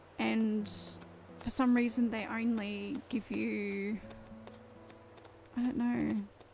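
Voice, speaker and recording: A woman speaks with an Australian accent at a very slow pace, leaving long, frequent pauses. Noticeable background noise runs underneath. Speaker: gaming streamer. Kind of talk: live game stream chat.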